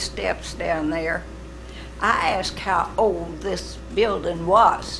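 With an Arkansas accent, a woman speaks very slowly, with audible room echo and noticeable background noise. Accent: Southern US (Arkansas). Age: 80s+. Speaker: honored centennial family member. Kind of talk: ceremony remarks. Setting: city council meeting.

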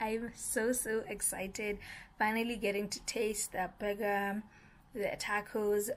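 A woman speaks at a very slow pace. Her voice is somewhat breathy. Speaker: vlogger. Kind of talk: casual vlog chat. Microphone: phone near.

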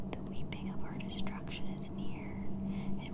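The speaker whispers in a soft-spoken way at a very slow pace. Noticeable background noise sits behind the voice. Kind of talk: whispered reading of an ancient religious text. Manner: whispered, soft.

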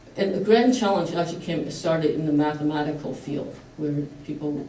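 At a fairly quick pace, a woman speaks in a very deep, low pitch, with audible room echo and light background noise. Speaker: engineering professor. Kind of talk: panel presentation. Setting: stage with audience. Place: hall. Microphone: camera far.

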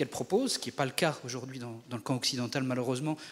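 A man is speaking. His pace is very fast. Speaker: audience member. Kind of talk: audience question. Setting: stage with audience. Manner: halting.

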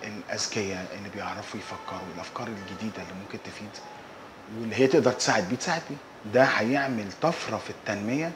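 Over noticeable background noise, a man talks at a very fast pace. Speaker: interviewee. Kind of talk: interview answer. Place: office. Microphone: lapel.

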